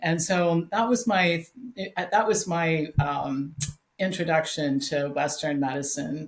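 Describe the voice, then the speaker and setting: A woman's somewhat breathy voice, fairly low in pitch, at a fairly slow pace with ordinary pitch variation. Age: 60s. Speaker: health author and educator. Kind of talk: interview.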